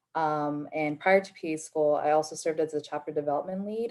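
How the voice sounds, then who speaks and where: A woman talks at a fairly quick pace with fairly even intonation. Her very deep, low pitch carries a dark, mellow tone. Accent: American. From Nevada, US. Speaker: physician assistant student. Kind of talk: panel discussion.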